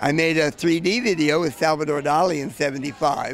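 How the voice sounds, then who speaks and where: A man speaks at a fairly quick pace with a fairly high pitch and ordinary pitch variation. Noticeable background noise runs behind him. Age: 70s. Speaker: video artist. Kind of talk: casual interview. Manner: halting.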